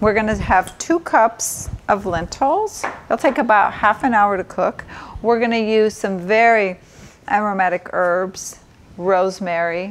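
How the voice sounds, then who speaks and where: Light background noise sits behind a woman talking at a fairly slow pace with ordinary pitch variation. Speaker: doctor cooking show host. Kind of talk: tutorial. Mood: warm, informative. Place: kitchen.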